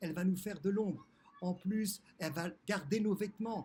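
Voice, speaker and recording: A man's high-pitched, monotone voice with flat intonation at a moderate pace. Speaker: spiritual teacher. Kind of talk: religious teaching. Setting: outdoors on a balcony.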